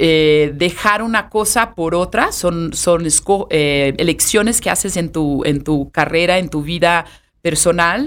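This woman speaks with a Brazilian accent at a very slow pace. Her pitch is fairly low, with ordinary pitch variation. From Brazil, Sao Paulo. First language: Portuguese (speaking Spanish). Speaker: hotel sales and marketing director. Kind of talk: interview conversation.

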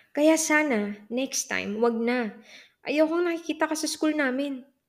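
In a Filipino accent, a woman speaks at a fairly slow pace with an angry tone and lively intonation. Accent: Filipino English and Tagalog. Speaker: audiobook narrator. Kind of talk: audiobook narration of a first-person novel. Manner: moves between Tagalog and English, shifting from brooding to sharply angry.

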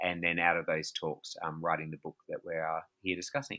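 An Australian-accented man's fairly quick delivery. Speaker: pastor and author. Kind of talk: interview conversation. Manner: hesitant, many fillers.

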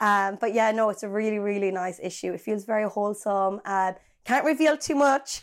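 A woman's medium-pitched voice with an Irish accent, ordinary pitch variation and a fairly quick pace, in a very clean recording with a silent background. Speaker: podcast co-host. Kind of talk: casual chat.

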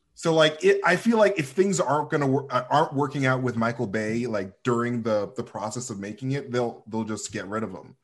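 Speaking at a fairly quick pace, a man has a plain, everyday voice at medium pitch with lively intonation. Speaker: podcaster. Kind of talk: casual chat.

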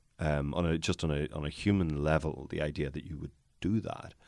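A man with a Northern Irish accent speaks at a very deep, low pitch with vocal fry. His pitch varies in an ordinary way, and the recording is very clean with a silent background. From Northern Ireland. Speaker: barrister and podcast host. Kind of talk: casual interview chat. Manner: wry, humorous, hesitant with many fillers.

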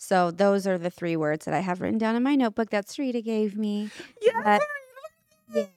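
A woman with an American accent talks at a fairly quick pace in a medium pitch, with ordinary pitch variation. Long, frequent pauses break up the dry, close sound, which has no echo. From California. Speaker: makeup artist. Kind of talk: casual chat. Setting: studio with audience. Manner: reserved.

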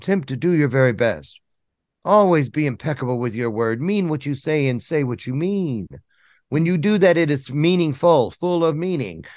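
Lively intonation carries the speech at a moderate pace over a quiet background. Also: man, fairly high pitch for a man. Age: 60s. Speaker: motivational speaker and coach. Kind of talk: interview. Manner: animated.

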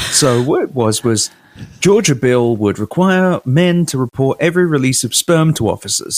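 A man with a British accent speaks with lively intonation in a dry, close sound with no echo. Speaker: PR professional and podcaster. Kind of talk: casual chat.

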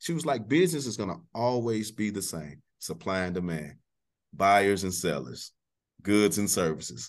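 Against a quiet background, this American accent moves at a moderate pace with very wide pitch swings. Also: man, fairly low pitch for a man. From Texas, North Houston. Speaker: middle school athletic coordinator and coach. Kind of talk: casual interview. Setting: studio. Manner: animated.

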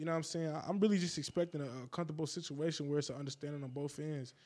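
A man with an American accent, fairly high in pitch, very fast and with hardly any pauses, fairly even in intonation, on a very clean recording with a silent background. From upstate New York, Niagara Falls. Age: 20s. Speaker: rapper. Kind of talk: casual chat.

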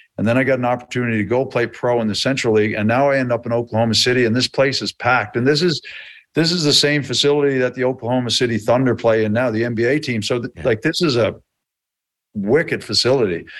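This man talks at a very fast pace in a Newfoundland accent, his pitch medium and its variation ordinary. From rural Newfoundland, Canada. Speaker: hockey trainer, former player. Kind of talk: casual interview chat. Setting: video call.

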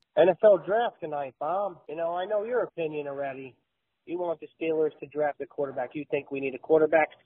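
Speaking fairly quickly, a man uses a fairly high pitch with ordinary pitch variation in an American accent. He has a plain, everyday voice.

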